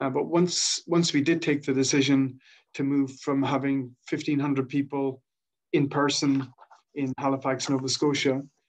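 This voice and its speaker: Monotone, flat intonation from a man with an Irish accent and a fairly high pitch. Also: moderate pace. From Ireland. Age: 50s. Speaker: social enterprise founder and director. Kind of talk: presentation on a video call. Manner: halting, many fillers.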